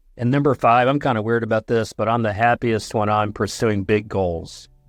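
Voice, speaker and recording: Against a quiet background with a dry, close sound and no echo, a man at medium pitch speaks at a moderate pace with very even loudness and fairly even intonation. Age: 60s. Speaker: psychologist and growth coach. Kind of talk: podcast interview.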